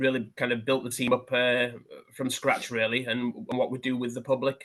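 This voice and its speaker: In a West Yorkshire accent, a man speaks with monotone, flat intonation. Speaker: police hate crime officer. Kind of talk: seminar presentation. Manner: hesitant, many fillers.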